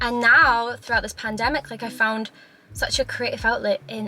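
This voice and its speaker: A woman speaks with a Scottish accent. Noticeable background noise runs behind her. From Scotland. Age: 20s. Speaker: YouTuber. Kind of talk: casual talk to camera.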